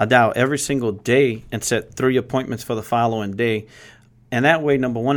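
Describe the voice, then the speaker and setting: With a Louisiana accent, a man of medium pitch talks at a fairly quick pace in a monotone, flat way, in a very clean recording with a silent background. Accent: Cajun Louisiana. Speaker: insurance agency leader. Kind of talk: casual interview.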